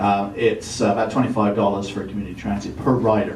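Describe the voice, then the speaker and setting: Someone speaks at a moderate pace in an English accent, with audible room echo and noticeable background noise. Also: man. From England. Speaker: former state legislator and city councillor. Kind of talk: presentation to officials. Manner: casual, hesitant fillers.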